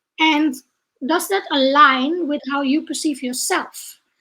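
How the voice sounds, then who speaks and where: Speaking at a very slow pace in a Dutch accent, a woman keeps her high pitch in fairly even intonation. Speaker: leadership trainer and coach. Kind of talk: online interview.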